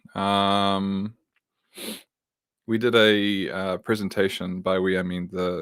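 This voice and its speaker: A flat, monotone New Zealand accent in a very clean recording with a silent background. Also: man. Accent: New Zealand (Kiwi). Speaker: tech worker and livestream host. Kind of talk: live tutorial stream. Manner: casual, many fillers.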